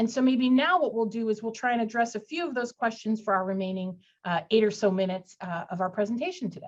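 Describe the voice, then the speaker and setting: A woman with a fairly high pitch talks at a very fast pace with lively intonation and hardly any pauses. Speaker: employment lawyer. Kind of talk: webinar legal presentation.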